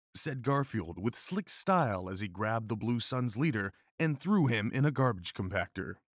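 The intonation moves in a lively way. This is someone reading aloud in a natural voice.

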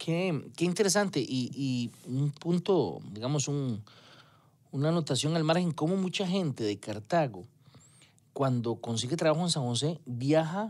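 Using lively intonation, a man speaks at a fairly slow pace with a fairly high pitch. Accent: Costa Rican. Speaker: radio host. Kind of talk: casual interview chat. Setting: radio studio.

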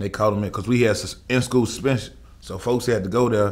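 Speaking at a fairly quick pace, a man delivers his words in a flat monotone. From Chicago, east side. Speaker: rapper; interview guest. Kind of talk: casual interview. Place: studio.

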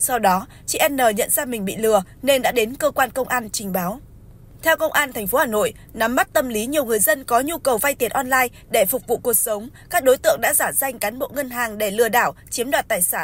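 A woman talks at a fairly quick pace with a high pitch and ordinary pitch variation. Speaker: news presenter. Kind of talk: news reading. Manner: formal.

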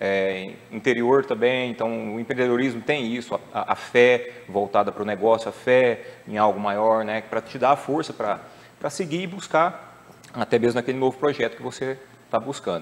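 A man's speech moves at a moderate pace, his pitch varying in an ordinary way. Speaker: guest. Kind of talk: interview answer. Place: studio. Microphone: lapel.

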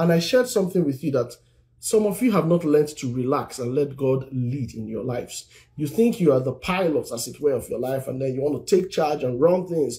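This man talks at a moderate pace in a dark, mellow, somewhat breathy tone. The background is quiet. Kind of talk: sermon-style live teaching.

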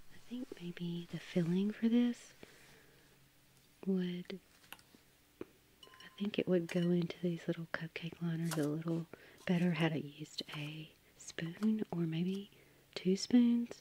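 A soft-spoken woman with a fairly low pitch talks very slowly in a dark, mellow, relaxed, somewhat breathy tone, with ordinary pitch variation. Long, frequent pauses and big swings in loudness mark her delivery, and the sound is dry with no echo. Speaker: home baker. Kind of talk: soft-spoken ASMR baking narration. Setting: home kitchen with microphone. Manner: soft-spoken, relaxed.

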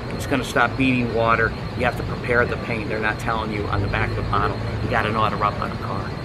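Over loud background noise, a man with an American accent speaks at a very fast pace. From Cleveland, Ohio, US Midwest. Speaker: auto detailer. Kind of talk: tutorial. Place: street. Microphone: camera far.

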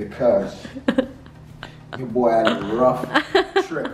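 With audible echo from the room and noticeable noise behind him, a man speaks fairly slowly. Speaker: vlogger giving apartment tour. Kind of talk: casual vlog chat. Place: home room.

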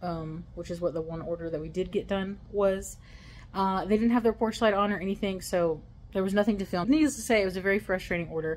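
A woman speaks at a very fast pace with light background noise. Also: ordinary pitch variation. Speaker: delivery driver vlogger. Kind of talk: casual vlog chat. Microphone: phone near.

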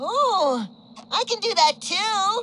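In a put-on character voice, a woman speaks slowly at an extremely high pitch, using big pitch swings and a bright, sharp tone.

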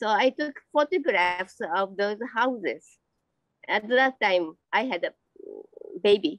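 A woman speaks at a very slow pace with lively intonation. The sound is dry with no echo, over a quiet background. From Japan. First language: Japanese. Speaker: amateur painter and teacher. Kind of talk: interview. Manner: halting. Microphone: video call.

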